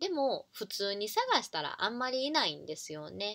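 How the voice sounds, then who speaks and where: A woman's bright, sharp, fairly high voice at a moderate pace over a quiet background. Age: 30s. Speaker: online business coach and YouTuber; online business coach. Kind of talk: casual talk to camera. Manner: informal with many fillers. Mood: friendly, smiling. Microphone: webcam.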